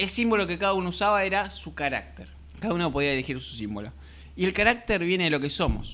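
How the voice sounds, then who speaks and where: Talking at a very fast pace, a man uses a high, bright, sharp voice with very wide pitch swings. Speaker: podcast host. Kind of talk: casual discussion.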